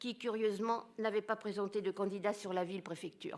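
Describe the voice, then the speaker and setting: A woman talks at a moderate pace in a medium-pitched voice. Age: 80s+. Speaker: opposition city councillor. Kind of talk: formal speech at council meeting. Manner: formal. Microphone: echoing sound system.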